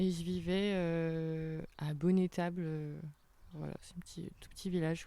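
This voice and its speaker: The voice has a dark, mellow tone and flat, monotone intonation, moving at a fairly slow pace with big swings in loudness. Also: woman, fairly low pitch for a woman. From western France, Angers area (born in Sarthe). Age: 20s. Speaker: festival organiser, association co-president. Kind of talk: casual chat.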